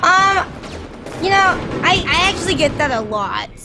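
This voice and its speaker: A woman projects her raised voice at a moderate pace with very wide pitch swings, amid noticeable background noise and audible room echo. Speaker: variety game streamer. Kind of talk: casual chat while gaming.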